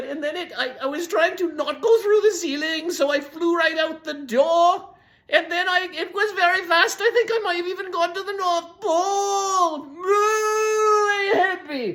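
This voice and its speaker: Using a put-on character voice, a woman speaks at an extremely high pitch with hardly any pauses. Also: moderate pace. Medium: read story. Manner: rambling, flustered.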